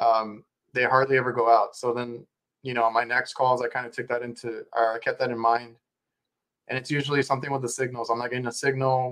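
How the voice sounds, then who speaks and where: This man has an American accent and a medium pitch. He talks at a very fast pace in a monotone, flat intonation. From South Texas. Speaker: podcast host. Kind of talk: casual interview chat.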